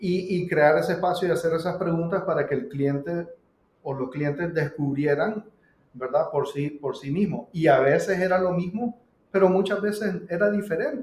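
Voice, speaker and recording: A man with a high pitch and ordinary pitch variation in a Nicaraguan accent. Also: moderate pace. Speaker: pizzeria co-owner and business coach. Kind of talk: casual interview conversation.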